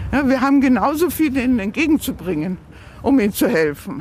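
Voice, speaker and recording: A woman's high voice over noticeable background noise. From Bavaria, Waldkraiburg. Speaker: volunteer language mentor and city tour guide. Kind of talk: guided city tour. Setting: outdoors.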